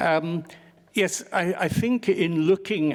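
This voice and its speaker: A man talks at a very slow pace with an English accent. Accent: English accent when speaking French. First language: English (speaking French). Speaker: historian. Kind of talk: panel talk, lecture-like.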